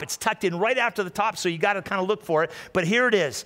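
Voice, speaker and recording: Against a quiet background, a man speaks very fast in a high pitch. His tone is animated and warm, and also bright and sharp. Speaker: pastor. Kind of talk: sermon. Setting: church with live audience and livestream. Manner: animated, warm and conversational, with call-and-response; repeats phrases and stumbles slightly while speaking. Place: church. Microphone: headset.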